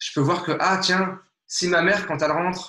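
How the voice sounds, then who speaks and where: A man's high-pitched voice. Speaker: nonviolent communication trainer. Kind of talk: interview. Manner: fast.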